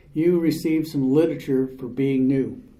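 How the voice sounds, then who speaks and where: A man's dark, mellow voice at a fairly slow pace, with audible room echo. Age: 70s. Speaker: recovery speaker. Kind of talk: recovery testimony talk.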